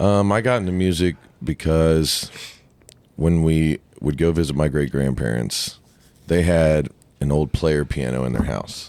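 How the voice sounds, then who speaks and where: A man's very deep, low voice with an American accent, ordinary pitch variation and a fairly slow pace. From US Midwest, southwest Ohio. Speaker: country singer-songwriter. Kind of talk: casual chat.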